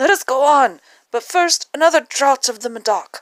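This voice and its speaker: Putting on a character voice, a woman speaks raspy and high at a moderate pace. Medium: read story. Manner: boastful, dismissive.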